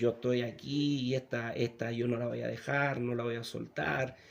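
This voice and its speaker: A man uses a put-on character voice that is hoarse and raspy, pitched at a medium level and delivered at a moderate pace. Clear background noise can be heard. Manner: menacing, defiant.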